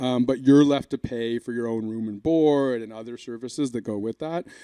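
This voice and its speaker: Medium-pitched male voice, dark and mellow, moderate in pace with fairly even intonation, dry and close with no echo on a very clean recording with a silent background. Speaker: socialist speaker, works with hospital workers. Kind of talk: conference panel talk. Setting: conference room with microphone. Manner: loud.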